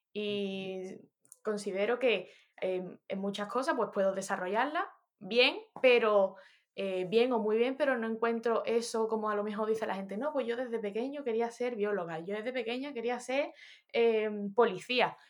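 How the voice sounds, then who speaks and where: A woman speaks in a normal speaking voice at a moderate pace. Her pitch is fairly high, with ordinary variation. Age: 30s. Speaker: musician. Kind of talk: casual chat.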